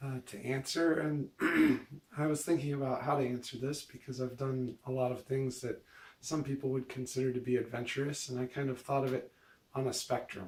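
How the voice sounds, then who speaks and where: A man's medium-pitched voice, fairly quick in pace, with monotone, flat intonation. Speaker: vlogger. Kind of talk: casual vlog monologue. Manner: hesitant, many fillers.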